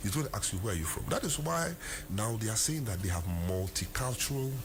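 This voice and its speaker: The speaker talks at a fairly quick pace with a Ghanaian accent and very wide pitch swings. Noticeable background noise is present. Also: man. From Ghana, Asante. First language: Twi. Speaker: lawyer. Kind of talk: interview.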